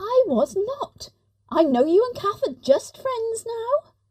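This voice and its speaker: A woman does a put-on character voice, squeaky and extremely high in pitch. She speaks at a fairly slow pace with very wide pitch swings. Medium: audio drama. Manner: tense, hesitant.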